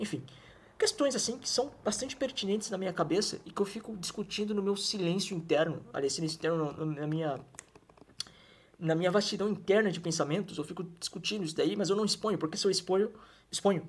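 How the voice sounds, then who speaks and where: A high-pitched man's voice at a very fast pace, with ordinary pitch variation. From Brazil, Mato Grosso do Sul (Campo Grande). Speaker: YouTuber. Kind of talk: monologue. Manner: halting, many restarts.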